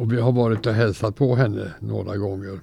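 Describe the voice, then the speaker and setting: The voice has a dark, mellow tone with vocal fry. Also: man. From Sweden, Gothenburg. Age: 90s. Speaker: retired teacher. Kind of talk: interview.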